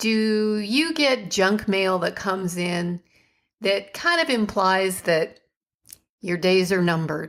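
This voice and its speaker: Speaking at a very slow pace, a woman with a medium pitch uses lively intonation. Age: 50s. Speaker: podcast host and online entrepreneur. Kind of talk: podcast monologue. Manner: casual, conversational.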